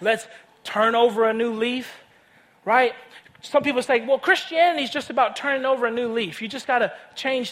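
This man speaks with a Tennessee accent. His pitch is extremely high, with ordinary pitch variation. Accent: Southern US (Tennessee). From US South, Nashville, Tennessee. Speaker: guest preacher. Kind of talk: sermon. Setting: church stage with audience. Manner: animated.

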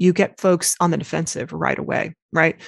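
Here is a woman with an American accent and a plain, everyday voice, pitched fairly low. She speaks at a moderate pace in a dry, close sound with no echo. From US South, Arkansas. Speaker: designer and writer. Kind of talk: interview conversation.

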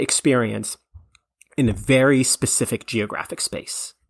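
A normal speaking voice comes through at a moderate pace with a dry, close sound and no echo. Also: man. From Canada. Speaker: history podcaster. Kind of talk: interview, historical explanation.

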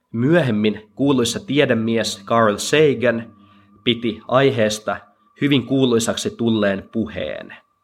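A man speaks at a very slow pace in a medium pitch. His loudness is very even, and his intonation fairly even. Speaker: podcaster reading a translated speech. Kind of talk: dramatic speech reading, solemn translated monologue. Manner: slow, measured and reverent, with emphatic pauses; earnest and moving, building rhythmically through repeated 'jokainen'.

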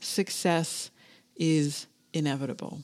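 Speaking very slowly, a woman talks in a Canadian accent. The recording is very clean, with a silent background. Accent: Canadian accent, stands out in Australia. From Canada. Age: 40s. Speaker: podcast host and business coach for florists. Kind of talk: motivational solo podcast monologue. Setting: home office. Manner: animated.

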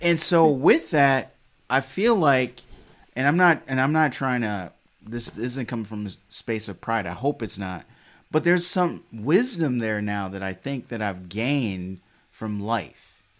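On a very clean recording with a silent background, a man with an American accent talks at a fairly slow pace in a medium pitch, an unremarkable speaking voice. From US Midwest (Detroit). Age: 40s. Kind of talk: casual chat.

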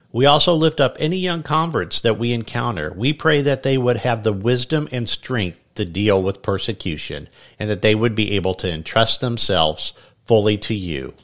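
A man with a medium-pitched voice speaks in a solemn tone at a moderate pace, his pitch swinging very widely, on a very clean recording with a silent background. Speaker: pastor. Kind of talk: fervent prayer, spoken as a pastor's devotional prayer to God. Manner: earnest, reverent, solemn and heartfelt.

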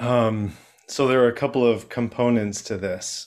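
In an American accent, a man uses an ordinary speaking voice at medium pitch, keeping a moderate pace and fairly even intonation. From Chicago, US. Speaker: HR professional and connection coach. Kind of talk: casual interview chat.

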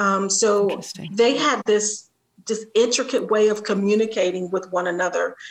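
A woman with an American accent speaks at a fairly slow pace, her fairly high voice moving with ordinary pitch variation. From Columbus, Ohio (Linden area), US Midwest. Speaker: nonprofit executive director. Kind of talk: interview. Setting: video call.

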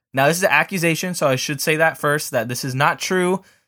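On a very clean recording with a silent background, a man speaks at a fairly quick pace in a fairly high pitch, with a bright, sharp tone and lively intonation. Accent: American. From Southern California. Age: 20s. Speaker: sports podcast host. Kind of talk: casual solo sports commentary. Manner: casual, filler-heavy.

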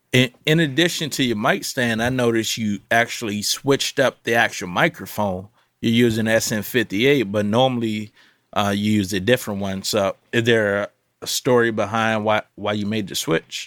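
In a very clean recording with a silent background and a dry, close sound with no echo, a man with a plain, everyday voice talks at a moderate pace in a medium pitch with ordinary pitch variation. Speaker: podcast host. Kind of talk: casual panel chat about audio and music. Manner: laid-back, slangy.

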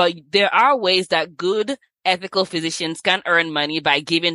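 A woman with a Nigerian accent speaks at a moderate pace, her fairly low voice showing ordinary pitch variation. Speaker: physician. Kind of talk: casual interview.

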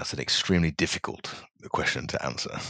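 Someone with a British accent talks at a fairly quick pace in a dry, close sound with no echo. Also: man. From England (small town, UK). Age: 40s. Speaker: corporate executive development manager. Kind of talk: interview conversation.

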